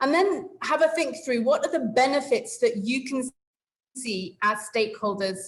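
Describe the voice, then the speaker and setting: High-pitched woman's voice with an English accent, very wide pitch swings and a fairly slow pace. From England. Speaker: webinar facilitator. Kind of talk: online meeting facilitation. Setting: video call.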